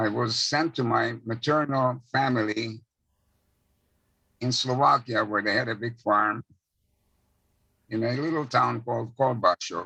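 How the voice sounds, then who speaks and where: With a bright, sharp tone, a man speaks at a fairly slow pace, his intonation fairly even and his speech marked by long, frequent pauses. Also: medium pitch for a man. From Czechoslovakia, Hungarian-speaking area. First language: Hungarian. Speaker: Holocaust survivor. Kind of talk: testimony.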